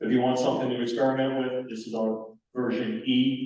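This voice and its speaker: A man speaks at a medium pitch with an American accent. His intonation is monotone and flat, with audible room echo. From New York. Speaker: amateur radio presenter. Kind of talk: technical presentation. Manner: fast.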